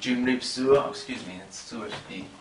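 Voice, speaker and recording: A man talks at a moderate pace, his voice carrying audible room echo amid noticeable background noise. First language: not Khmer (non-native learner). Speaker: language teacher. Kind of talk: tutorial. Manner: hesitant, with fillers.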